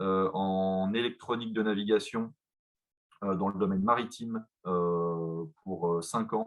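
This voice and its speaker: Speaking at a fairly slow pace, a man with a fairly low pitch uses ordinary pitch variation. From France, Besançon. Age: 30s. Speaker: company executive. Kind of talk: presentation. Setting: video call. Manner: halting, many fillers.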